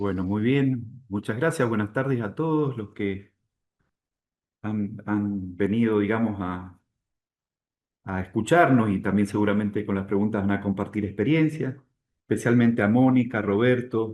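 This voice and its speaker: A man with a fairly low pitch speaks at a fairly slow pace, using ordinary pitch variation and long, frequent pauses. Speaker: university international relations director. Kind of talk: presentation.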